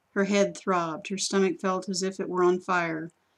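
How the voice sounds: Delivered with fairly even intonation, this is a natural reading voice.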